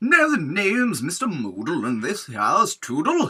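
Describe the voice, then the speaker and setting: Putting on a character voice, a man speaks at a high pitch. His pace is moderate. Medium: read story. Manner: jolly, proper.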